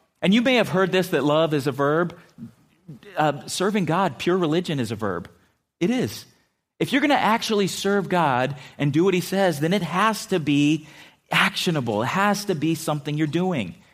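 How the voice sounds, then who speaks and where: Recorded very cleanly against a silent background, a man with an American accent speaks at a high pitch with lively intonation. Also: moderate pace. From San Diego, California. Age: 50s. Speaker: pastor. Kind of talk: sermon. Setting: church.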